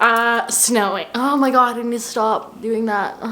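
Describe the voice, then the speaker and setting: A woman talks at a fairly slow pace with a fairly high pitch. Audible room echo surrounds her voice. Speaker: lifestyle vlogger. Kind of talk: casual vlog chat. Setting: at home, filmed on tripod. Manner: animated.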